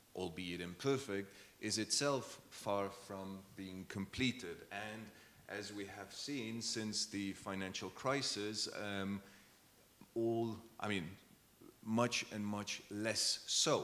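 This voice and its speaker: A man with a Luxembourgish accent speaks very slowly in a fairly low pitch. His tone is bright and sharp, and his intonation fairly even. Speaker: diplomat. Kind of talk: panel discussion. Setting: conference with audience.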